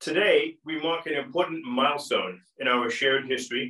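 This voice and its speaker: Recorded with audible room echo but a quiet background, a man with an American accent talks at a fairly quick pace. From United States. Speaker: diplomat. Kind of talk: formal welcome speech. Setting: online video event. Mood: solemn, respectful. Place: home room. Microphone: camera far.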